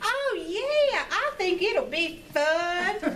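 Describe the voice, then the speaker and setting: A woman performs a squeaky, put-on character voice at an extremely high pitch with very wide pitch swings. Clear background noise can be heard. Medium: stage play. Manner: bright, friendly.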